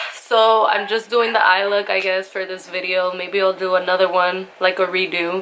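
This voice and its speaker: With noticeable background noise behind her, a woman speaks in a medium pitch with monotone, flat intonation and hardly any pauses. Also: moderate pace. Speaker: beauty vlogger. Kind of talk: makeup tutorial chat.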